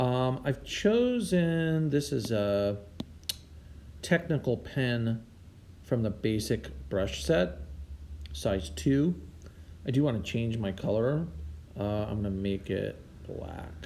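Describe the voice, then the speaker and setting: A man's dark, mellow tone at a very slow pace, with very wide pitch swings and long, frequent pauses. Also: medium pitch for a man. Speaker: art teacher. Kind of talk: tutorial. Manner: casual.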